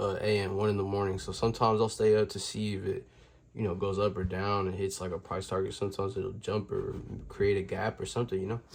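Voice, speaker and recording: A man speaks very fast in a somewhat breathy, fairly low voice with monotone, flat intonation. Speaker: stock trader, video creator. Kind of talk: casual tutorial to camera. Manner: casual, filler words.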